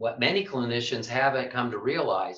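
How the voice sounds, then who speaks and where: A man speaks with a medium pitch. His is a normal speaking voice. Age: 60s. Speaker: physical therapy clinic owner. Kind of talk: presentation to clinicians.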